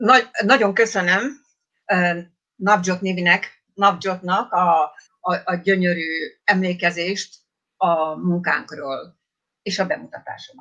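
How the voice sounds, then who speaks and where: With a Hungarian accent, a woman speaks fairly slowly at a medium pitch in a bright, sharp tone, using ordinary pitch variation. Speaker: theatre director. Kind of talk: panel remarks.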